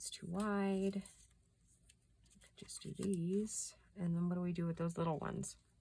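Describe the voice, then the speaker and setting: In an American accent, a somewhat breathy woman with fairly low pitch and a dark, mellow tone speaks at a moderate pace with monotone, flat intonation, big swings in loudness, and long, frequent pauses. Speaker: craft youtuber. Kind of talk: craft tutorial chat.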